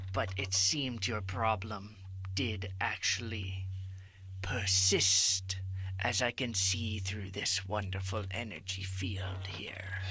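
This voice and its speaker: A man puts on a character voice with a very deep, low pitch. He speaks at a fairly slow pace. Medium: audio drama. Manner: calm, measured, counselor-like.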